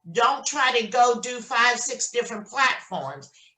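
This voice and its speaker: High-pitched, a woman is speaking. Noticeable background noise sits behind her. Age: 60s. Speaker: notary signing agent. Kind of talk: casual chat.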